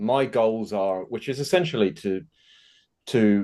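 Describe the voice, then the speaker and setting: A man with an English accent at a fairly slow pace against a quiet background. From England. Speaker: nutrition business owner. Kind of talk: casual interview chat.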